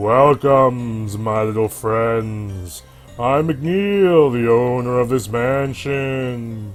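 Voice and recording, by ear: A man's put-on character voice at a medium pitch, very slow, with faint music in the background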